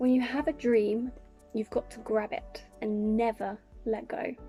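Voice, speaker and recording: Fairly high pitch from a woman, a fairly slow pace and calm, soothing tone, with big swings in loudness and music in the background. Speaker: YouTuber / vlogger. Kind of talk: casual talk to camera, reading inspirational quotes. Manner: calm, soothing, gentle.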